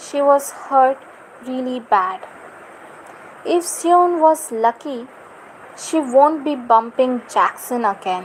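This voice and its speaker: A woman's high voice at a very slow pace, with lively intonation, long, frequent pauses and noticeable background noise. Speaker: fan fiction reader. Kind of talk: reading aloud. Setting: livestream.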